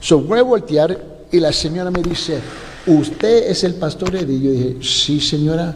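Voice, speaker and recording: A man with a non-native accent speaks fairly slowly in a fairly high voice with ordinary pitch variation, amid audible room echo and noticeable background noise. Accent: noticeable foreign accent in Spanish. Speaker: pastor. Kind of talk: sermon. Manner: loud voice.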